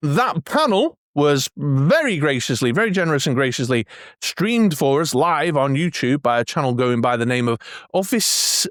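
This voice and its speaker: With an English accent, a man with a fairly high pitch and lively intonation talks at a moderate pace, on a very clean recording with a silent background and a dry, close sound with no echo. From England. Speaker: collectibles YouTuber. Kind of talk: casual video commentary. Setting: home man cave. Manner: hesitant, many fillers.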